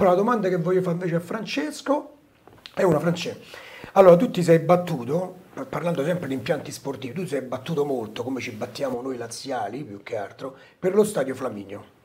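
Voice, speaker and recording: This man talks at a fairly quick pace in a high pitch, with very wide pitch swings and big swings in loudness. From Rome (Trastevere), Italy; Italy. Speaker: talk show host. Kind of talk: casual chat. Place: studio.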